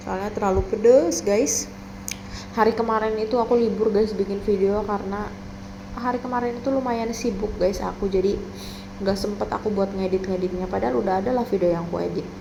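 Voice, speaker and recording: Fairly quick and relaxed in tone, a woman speaks with fairly even intonation. An audible room echo and noticeable background noise come through. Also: medium pitch for a woman. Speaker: vlogger. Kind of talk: casual vlog narration. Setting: at home. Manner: relaxed, chatty.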